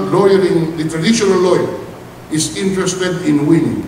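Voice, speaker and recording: Man speaking at a moderate pace, with light background noise and audible room echo. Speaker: speaker. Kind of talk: formal commencement speech. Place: hall. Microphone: podium.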